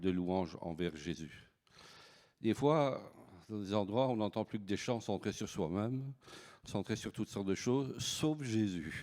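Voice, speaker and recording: A man's fairly low voice with a Belgian accent and ordinary pitch variation, on a very clean recording with a silent background. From Belgium. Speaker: pastor. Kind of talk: sermon. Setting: church service. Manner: halting, many repetitions and fillers.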